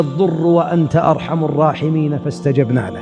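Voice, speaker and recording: A man speaks with music in the background. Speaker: Islamic preacher / sheikh. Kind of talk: religious sermon lecture.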